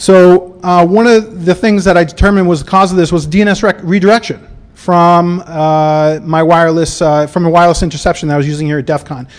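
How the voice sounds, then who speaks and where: With noticeable background noise, a man with a high pitch talks at a fairly quick pace with hardly any pauses and fairly even intonation. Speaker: security conference speaker. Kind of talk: conference talk. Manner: fast; halting, many fillers.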